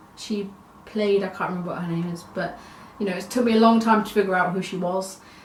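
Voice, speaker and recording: A woman speaks with fairly even intonation, with noticeable background noise and audible room echo. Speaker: vlogger. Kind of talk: casual vlog monologue.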